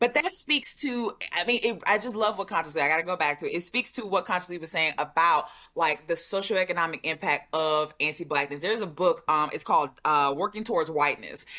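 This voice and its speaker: Fairly quick, bright and sharp speech from a woman with an American accent, lively intonation and hardly any pauses. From US South, Louisiana. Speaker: commentator. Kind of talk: casual chat.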